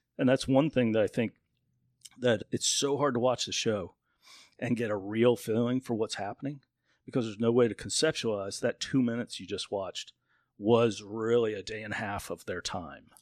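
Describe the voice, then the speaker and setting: Recorded very cleanly with a silent background and a dry, close sound with no echo, a man with an American accent uses an ordinary speaking voice at medium pitch, a moderate pace and fairly even intonation. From Northern Virginia. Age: 50s. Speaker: wilderness survival show contestant and businessman. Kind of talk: casual chat.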